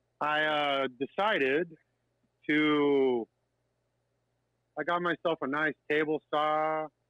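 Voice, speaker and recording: Keeping very even loudness, a man with a fairly high pitch speaks at a very slow pace with fairly even intonation and long, frequent pauses. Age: 50s. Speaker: live sound audio technician. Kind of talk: casual chat.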